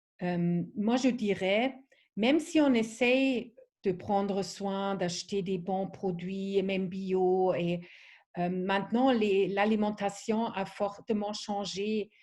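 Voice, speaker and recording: The speech moves at a very slow pace, with ordinary pitch variation and a non-native accent. Behind it, the background stays quiet. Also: woman, medium pitch for a woman. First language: not French (speaking French). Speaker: wellness product trainer. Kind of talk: online training presentation. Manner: halting, many fillers.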